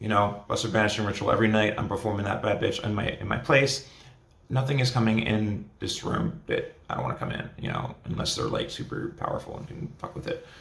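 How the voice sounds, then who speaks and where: Speech comes at a fairly quick pace with audible room echo. Noticeable background noise runs underneath. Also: man. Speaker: spiritual vlogger. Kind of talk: casual monologue. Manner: casual, filler-heavy.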